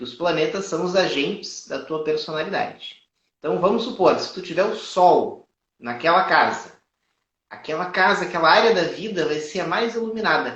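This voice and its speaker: In a strong southern Brazilian accent, a man speaks at a high pitch with ordinary pitch variation. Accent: strong gaúcho (southern Brazilian). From Brazil, Rio Grande do Sul. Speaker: astrologer. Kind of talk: live astrology consultation and teaching. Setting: live stream.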